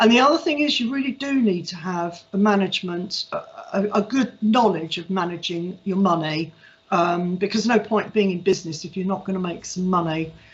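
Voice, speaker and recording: The voice is somewhat breathy and moves at a fairly quick pace with ordinary pitch variation. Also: woman, medium pitch for a woman. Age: 60s. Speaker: cattery owner. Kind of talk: careers talk. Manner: hesitant with frequent fillers.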